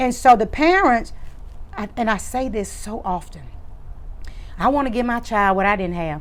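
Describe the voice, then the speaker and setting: A woman with a medium pitch speaks at a moderate pace in an animated tone with lively intonation, and audible room echo surrounds her. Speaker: educator and show host. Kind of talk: interview. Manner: loud.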